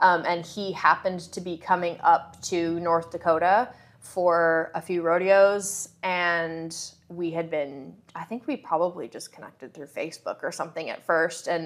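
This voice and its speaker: The voice moves at a moderate pace with fairly even intonation and big swings in loudness, on a very clean recording with a silent background. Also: woman, fairly low pitch for a woman. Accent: Canadian. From Canada (Winnipeg, Manitoba). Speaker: real estate agent. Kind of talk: interview. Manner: casual, hesitant with fillers.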